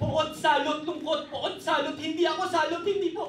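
The speech moves at a moderate pace. Audible room echo sits over light background noise. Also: man. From Philippines. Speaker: spoken word poet. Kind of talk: spoken word performance; casual stage introduction. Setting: stage with audience. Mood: intense, grave. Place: cafe.

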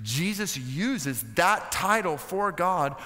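A man with an American accent has a bright, sharp tone and lively intonation against a quiet background. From United States. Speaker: preacher, seminary guest speaker. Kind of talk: sermon preached to a seminary chapel audience. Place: stage. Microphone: headset.

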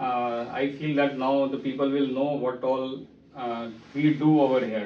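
Audible room echo and light background noise surround a man at medium pitch whose intonation stays fairly even. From India. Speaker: laparoscopic surgeon and trainer. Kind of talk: casual interview introduction. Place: office.

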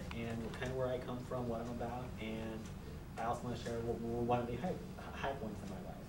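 A man with an American accent at a fairly quick pace, amid noticeable background noise. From Phoenix, Arizona. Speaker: college student. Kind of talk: class speech. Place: classroom. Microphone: camera far.

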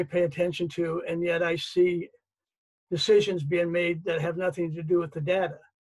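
A man's high-pitched voice at a moderate pace over a quiet background. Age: 70s. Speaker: reader and family caretaker. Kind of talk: panel discussion. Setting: video call. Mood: earnest, personal storytelling. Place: home room. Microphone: video call.

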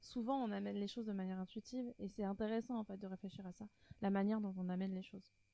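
Talking at a fast pace, a woman uses medium pitch, fairly even intonation, a dark, mellow tone and some vocal fry.

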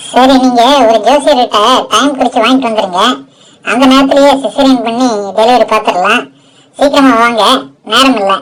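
Using a put-on character voice, a woman speaks at a high pitch and a moderate pace. Her intonation is fairly even and her loudness very even. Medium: audio drama. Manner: brisk, businesslike.

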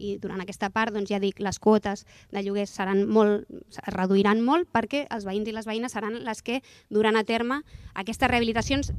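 A woman with a fairly high pitch talks at a moderate pace in a very clean recording with a silent background and a dry, close sound without echo. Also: fairly even intonation. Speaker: city council official. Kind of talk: press conference. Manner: halting.

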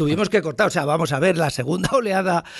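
High-pitched man's voice with lively intonation. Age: 60s. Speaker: advertising agency founder. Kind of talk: casual chat.

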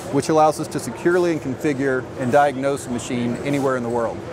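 A man speaks at a fairly quick pace in a medium pitch. His pitch variation is ordinary, and clear background noise is present.

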